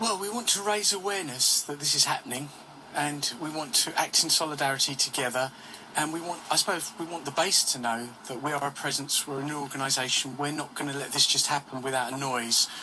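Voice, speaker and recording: Noticeable background noise sits behind a man speaking fairly quickly at a fairly high pitch with ordinary pitch variation. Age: 60s. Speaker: peace campaigner. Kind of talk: radio interview.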